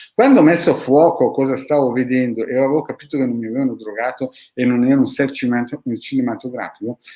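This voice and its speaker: A man at a medium pitch with a dark, mellow tone, talking at a very fast pace. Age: 50s. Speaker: esoteric practitioner, channel host. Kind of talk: video monologue answering followers' questions. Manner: animated.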